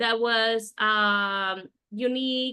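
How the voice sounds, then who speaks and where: A woman speaks with a Spanish accent at a fairly high pitch, her intonation flat and monotone. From Mexico, moved to the US at twelve. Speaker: winemaker and winery owner. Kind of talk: interview.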